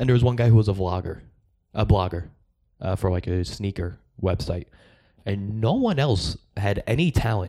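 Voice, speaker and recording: An American accent marks this man's fairly low, dark, mellow voice, delivered at a moderate pace with ordinary pitch variation and long, frequent pauses. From US Northeast, Long Island. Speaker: stand-up comedian. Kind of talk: casual chat.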